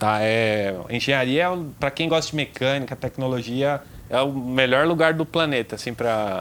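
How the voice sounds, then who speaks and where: With an ordinary speaking voice, a man talks at a moderate pace and a fairly high pitch, with ordinary pitch variation. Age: 30s. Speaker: motorcycle reviewer and mechanic. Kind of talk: casual chat.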